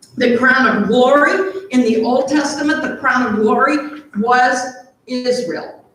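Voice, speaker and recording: Audible room echo surrounds a woman speaking very slowly in a high pitch with ordinary pitch variation. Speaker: pastor. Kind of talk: sermon.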